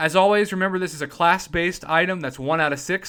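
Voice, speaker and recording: Over a silent background in a very clean recording, a man speaks with a bright, sharp tone. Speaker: gaming YouTuber. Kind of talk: gaming tutorial. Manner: fast.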